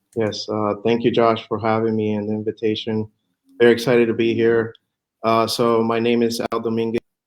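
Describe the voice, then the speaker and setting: A man with a Spanish accent talks at a fairly quick pace and medium pitch in a monotone, flat intonation. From Puerto Rico. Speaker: real estate fund manager. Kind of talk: interview. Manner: halting, many fillers.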